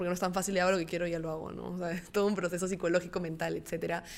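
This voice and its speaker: A woman's plain, everyday voice, fairly low in pitch, with fairly even intonation. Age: 20s. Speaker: entrepreneur, clothing brand founder. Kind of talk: casual interview.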